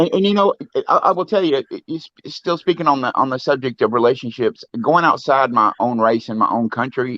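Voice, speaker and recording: A man with a slight Southern US accent talks at a fairly quick pace. His voice is fairly high in pitch, with lively intonation. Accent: slight Southern twang, fairly proper. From US South, Louisiana. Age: 50s. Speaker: live stream guest, musician. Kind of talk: casual chat. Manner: halting, repeats words.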